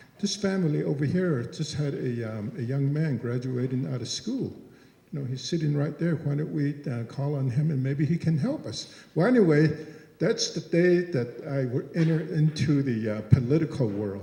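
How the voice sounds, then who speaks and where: Speaking at a moderate pace, a man has a fairly high, somewhat breathy voice with a dark, mellow tone. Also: lively intonation. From Navajo Nation, Big Mountain area. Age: 60s. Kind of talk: public comment at forum Q&A. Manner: halting, many fillers.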